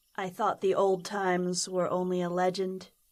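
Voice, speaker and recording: A female-sounding put-on character voice delivers its lines in a flat monotone. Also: medium pitch for a woman, moderate pace. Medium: audio drama. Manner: curious, earnest.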